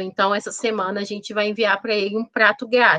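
A woman's fairly high-pitched voice, bright and sharp in tone, in a dry, close sound with no echo. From Contagem, Minas Gerais, Brazil. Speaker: HR professional and food entrepreneur. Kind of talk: interview.

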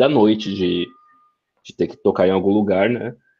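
His voice carries a dark, mellow tone. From São Paulo metro area, Brazil. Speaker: DevOps engineer. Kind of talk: casual chat.

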